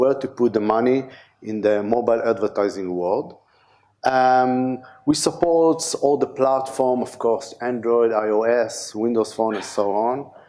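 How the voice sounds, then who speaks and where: With an Israeli accent, a man speaks at a fairly slow pace in a medium pitch. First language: Hebrew. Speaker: conference speaker, DevOps engineer. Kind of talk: conference talk. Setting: stage with audience. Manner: halting, many fillers.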